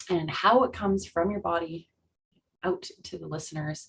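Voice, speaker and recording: A woman talks at a moderate pace with a Canadian accent. Her pitch sits in the middle range, and her voice is somewhat breathy. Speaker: speech-language pathologist. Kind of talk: lecture.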